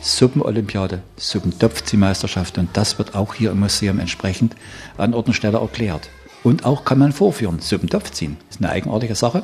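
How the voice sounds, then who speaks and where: A man with a fairly low voice talks at a fairly quick pace with lively intonation over noticeable background noise. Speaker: museum guide. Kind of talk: interview.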